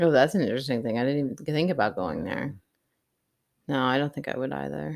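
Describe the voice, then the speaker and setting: On a very clean recording with a silent background, a woman with vocal fry and a very deep, low pitch talks at a very fast pace, with ordinary pitch variation, big swings in loudness and long, frequent pauses. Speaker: podcast host. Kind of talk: casual chat.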